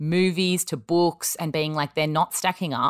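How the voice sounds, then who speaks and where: On a very clean recording with a silent background, a woman with an Australian accent speaks at a very deep, low pitch in a dry, close sound with no echo. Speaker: podcast host. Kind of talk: casual chat.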